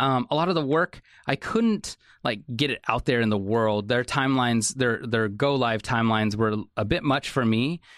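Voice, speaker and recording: A man with an American accent speaks in an ordinary speaking voice at medium pitch and a moderate pace, with ordinary pitch variation, very even loudness, a quiet background and a dry, close sound with no echo. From Salem, Oregon. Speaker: creative director. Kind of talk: casual chat.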